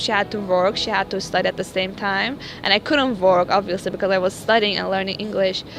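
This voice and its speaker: A woman speaks with a Persian accent. Noticeable background noise runs behind her. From Iran. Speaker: university student, immigrant interviewee. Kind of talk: interview. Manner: hesitant, many fillers.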